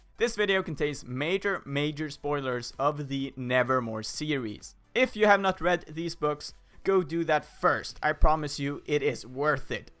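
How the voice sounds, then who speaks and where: A man with a fairly high pitch speaks at a fairly slow pace, his intonation lively. It is a plain, everyday voice. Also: hardly any pauses. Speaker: fan video creator and voice actor. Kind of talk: casual talk to camera.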